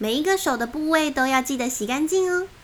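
Her tone is playful, and a woman's pitch swings very widely. Noticeable background noise runs under her voice. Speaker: children's picture book narrator. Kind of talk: reading aloud a children's story. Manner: lively, playful storytelling.

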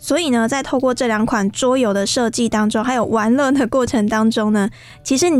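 This woman's voice sits at a high pitch. Her pitch varies in an ordinary way. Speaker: radio host. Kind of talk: radio interview. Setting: studio. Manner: animated.

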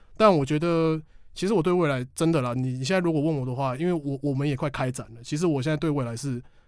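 Speaking at a very fast pace, a man with a fairly high pitch comes through on a very clean recording with a silent background. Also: ordinary pitch variation. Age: 20s. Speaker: game expo organizer. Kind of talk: interview. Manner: loud. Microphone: professional microphone.

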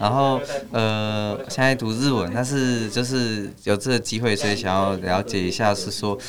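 A man with a slight Malaysian accent speaks at a moderate pace, with a fairly low pitch and ordinary pitch variation. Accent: slight Malaysian-sounding. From Taiwan, Hsinchu. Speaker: student. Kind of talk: casual chat. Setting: studio.

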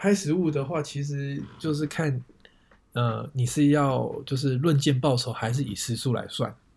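A somewhat breathy male voice, fairly high in pitch with ordinary pitch variation, on a very clean recording with a silent background. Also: fairly slow pace. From Taiwan, Taipei. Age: 30s. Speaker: photographer. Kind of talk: casual chat.

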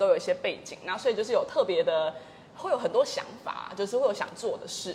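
A woman talks against noticeable background noise. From Kaohsiung, Taiwan, with British family. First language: English (speaking Chinese). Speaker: education company founder. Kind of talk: casual interview.

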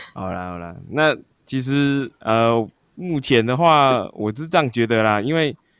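Speaking at a fairly slow pace, a man uses a medium pitch, lively intonation and big swings in loudness. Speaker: podcast co-host. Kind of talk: casual chat. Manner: animated, excited.

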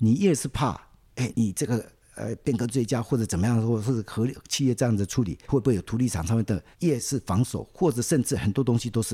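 This man's somewhat breathy voice sits at a medium pitch with a dark, mellow tone, moving at a fairly quick pace with ordinary pitch variation in a dry, close sound with no echo. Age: 60s. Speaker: city government official, civil engineer. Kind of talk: interview. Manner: relaxed, many filler particles.

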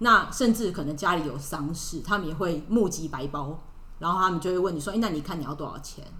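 Talking at a fairly quick pace, a woman with a fairly low pitch is heard with audible room echo. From Taiwan. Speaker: expat office worker. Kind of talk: podcast interview.

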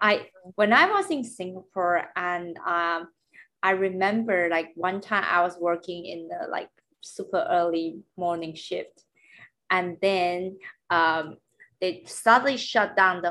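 A woman speaks fairly slowly in a bright, sharp tone at medium pitch with ordinary variation. The recording is very clean, with a silent background. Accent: Mandarin. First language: Mandarin. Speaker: podcast host and language teacher. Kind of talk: casual chat; language lesson.

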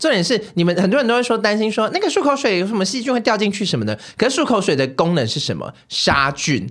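Over noticeable background noise, a man talks at a very fast pace with hardly any pauses. His high pitch moves in very wide swings. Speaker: recurring podcast guest. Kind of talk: casual chat. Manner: odd new speaking intonation.

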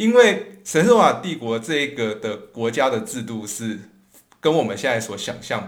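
A man with a medium pitch talks at a moderate pace with lively intonation, and audible room echo surrounds his voice. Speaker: podcast host, history and music storyteller. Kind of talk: educational podcast talk.

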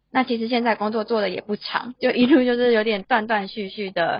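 Somewhat breathy, a woman speaks at a fairly high pitch and a moderate pace with ordinary pitch variation. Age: 20s. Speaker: office worker and illustrator. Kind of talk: casual interview.

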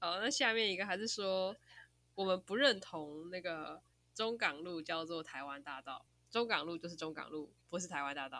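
A woman with a fairly low pitch and a bright, sharp tone speaks at a moderate pace with lively intonation in a very clean recording with a silent background. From Taiwan, Taichung. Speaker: podcast host. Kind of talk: casual chat.

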